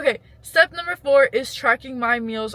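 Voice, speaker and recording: A woman projects a raised, high-pitched voice through noticeable background noise. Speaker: lifestyle vlogger. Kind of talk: casual advice vlog. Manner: rambling, conversational.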